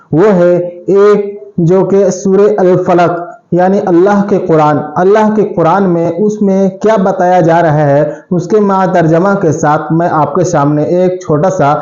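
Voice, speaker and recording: A man talks at a high pitch with fairly even intonation and hardly any pauses. His loudness stays very even over noticeable background noise. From India. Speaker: YouTube reaction host. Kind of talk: casual talk to camera.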